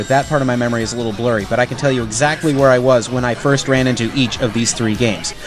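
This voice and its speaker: Against music in the background, a man talks very fast at a medium pitch. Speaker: voiceover artist. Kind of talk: scripted narration.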